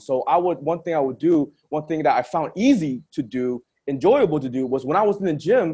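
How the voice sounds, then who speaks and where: The voice is a normal speaking voice with lively intonation. Its pace is moderate. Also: man. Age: 20s. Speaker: podcast host. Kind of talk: casual interview.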